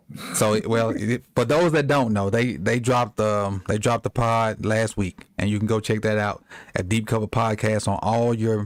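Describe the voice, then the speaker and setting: Fairly low-pitched man, fairly even intonation, dry, close sound with no echo, very clean recording with a silent background. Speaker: sports podcast host. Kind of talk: casual chat. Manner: fast.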